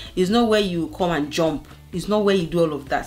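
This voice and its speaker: A woman with a fairly low pitch at a fairly quick pace. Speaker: family lifestyle vlogger. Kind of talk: casual vlog talk to camera. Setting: living room at home. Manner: loud; animated.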